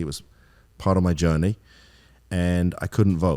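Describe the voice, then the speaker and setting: A man with an English accent, very deep and low in pitch, at a very fast pace with ordinary pitch variation, in a very clean recording with a silent background. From England. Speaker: attorney. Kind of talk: podcast interview.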